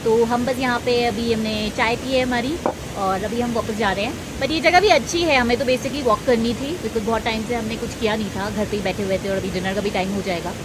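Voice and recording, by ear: A woman's fairly high voice at a fairly quick pace, with ordinary pitch variation, few pauses and clear background noise.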